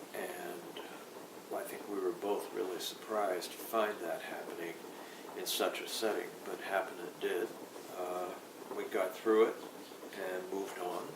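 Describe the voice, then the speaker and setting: A man speaks at a fairly slow pace with long, frequent pauses, his voice carrying audible room echo over noticeable background noise. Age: 70s. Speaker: recovering alcoholic sharing his story. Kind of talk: personal testimony. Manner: halting, with frequent fillers.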